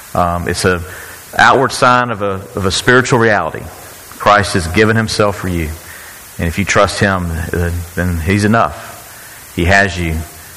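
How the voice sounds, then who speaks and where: A man with a fairly low pitch and ordinary pitch variation talks at a moderate pace while noticeable background noise sounds behind him. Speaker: church leader. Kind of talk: church service announcement. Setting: church.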